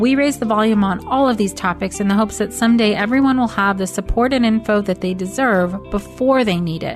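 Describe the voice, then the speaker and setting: Music plays in the background while a woman with a medium-pitched voice speaks at a fairly quick pace, her pitch varying in an ordinary way. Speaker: podcast host; psychologist. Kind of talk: podcast intro.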